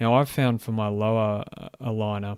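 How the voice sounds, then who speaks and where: Monotone, flat intonation marks this man's medium-pitched speech. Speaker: dentist and podcast host. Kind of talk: educational talk. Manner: casual with fillers.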